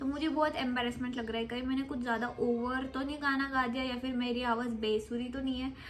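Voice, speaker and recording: With audible room echo around her, a woman talks at a moderate pace and high pitch, her intonation monotone and flat, with hardly any pauses. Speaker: vlogger. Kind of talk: casual vlog storytime.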